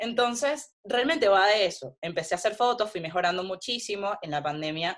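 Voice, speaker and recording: A woman talks at a fairly quick pace with hardly any pauses. Her medium pitch swings very widely. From Venezuela. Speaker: food photographer. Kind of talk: interview.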